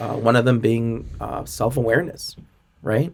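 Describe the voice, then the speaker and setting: A man talks at a moderate pace and medium pitch in an ordinary speaking voice. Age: 40s. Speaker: sales and customer experience expert. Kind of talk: podcast interview.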